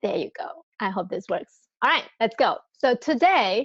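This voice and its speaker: A woman's high-pitched voice with a Singaporean accent, very wide pitch swings, a moderate pace and a dry, close sound with no echo. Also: quiet background. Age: 40s. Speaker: network marketing presenter. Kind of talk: sales pitch. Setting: live webinar. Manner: animated.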